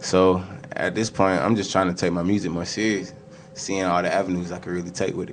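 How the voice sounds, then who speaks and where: A man speaks in a relaxed tone at a very deep, low pitch and a fairly quick pace, his intonation monotone and flat. There is audible room echo and noticeable background noise. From Georgia, Stone Mountain / Atlanta area. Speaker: musician. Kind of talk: interview. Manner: casual, relaxed.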